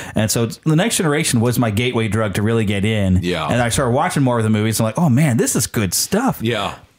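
A man's voice at very even loudness, with noticeable background noise. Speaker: podcast host. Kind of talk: casual chat.

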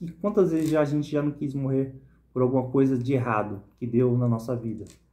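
This man's voice has a dark, mellow tone and a medium pitch. He talks at a moderate pace with ordinary pitch variation. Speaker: bible reflection vlogger. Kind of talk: Bible reading and reflection. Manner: casual, informal. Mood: earnest, personal. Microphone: phone near.

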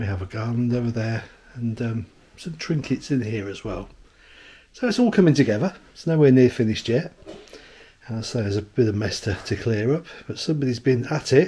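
A man's somewhat breathy voice, dark and mellow in tone, moves at a fairly quick pace with ordinary pitch variation. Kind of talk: casual vlog chat. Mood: cheerful, laughing. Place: home room. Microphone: phone near.

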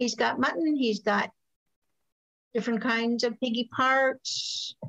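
A woman's high voice at a very slow pace, with very even loudness, long, frequent pauses and a quiet background. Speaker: historical cooking class teacher; presenter. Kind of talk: lecture. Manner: halting, many ums. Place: kitchen. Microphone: webcam.

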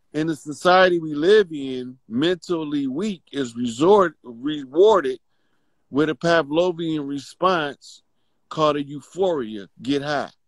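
A man speaks in a normal speaking voice at a fairly slow pace, with a fairly high pitch and ordinary pitch variation. The sound is dry and close, with no echo. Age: 50s. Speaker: spiritual teacher. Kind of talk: casual chat. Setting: video call.

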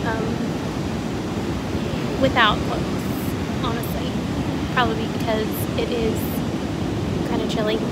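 Over loud background noise, a woman talks at a moderate pace with long, frequent pauses. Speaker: vlogger. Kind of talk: casual vlog chat. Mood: relaxed, amused. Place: beach. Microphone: phone near.

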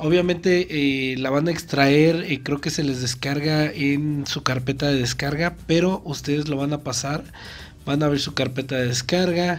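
A man with a fairly high pitch and ordinary pitch variation speaks at a moderate pace.

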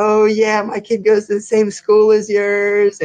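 In a put-on character voice, a man speaks high and in a flat monotone. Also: fairly slow pace. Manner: salesy, chummy.

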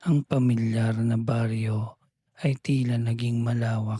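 A man's somewhat breathy voice, medium-pitched with a dark, mellow, soothing, gentle tone, at a very slow pace with fairly even intonation and a dry, close sound with no echo. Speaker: bedtime storyteller. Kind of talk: bedtime story narration, read aloud. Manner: slow, soothing, gentle; calm, dreamy storytelling pace.

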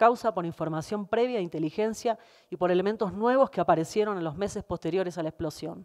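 Pitch varies in an ordinary way, and the pace is fairly quick. It is recorded against a quiet background. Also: woman. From Argentina. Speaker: lawyer for the petitioners. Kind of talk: legal hearing questioning and closing argument. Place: hall. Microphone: podium.

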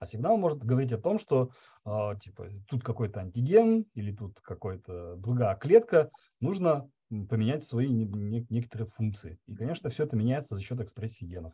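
A man's somewhat breathy voice with a dark, mellow tone, lively intonation and a moderate pace over a quiet background. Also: big swings in loudness. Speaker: biologist; presenter. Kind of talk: online seminar discussion. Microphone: video call.

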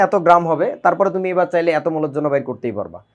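A man against a quiet background. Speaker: chemistry teacher. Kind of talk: lecture. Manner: casual, conversational.

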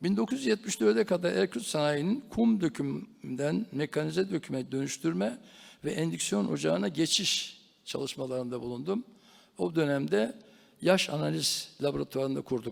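Very wide pitch swings mark this man's fairly high voice as he speaks at a fairly slow pace in a very clean recording with a silent background. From Turkey, Ankara. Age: 80s+. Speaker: foundry industrialist. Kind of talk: conference talk. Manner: formal.

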